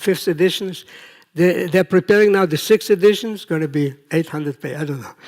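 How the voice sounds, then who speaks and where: Lively intonation carries this man's high-pitched voice, spoken with an Israeli accent. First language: Hebrew. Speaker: professor, project management researcher. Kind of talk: conference talk. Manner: conversational, with fillers.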